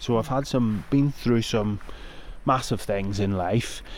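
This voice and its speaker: A man in a Northern Irish accent talks at a fairly slow pace with fairly even intonation. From Northern Ireland. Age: 50s. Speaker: mental health campaigner, former paramedic. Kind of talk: interview.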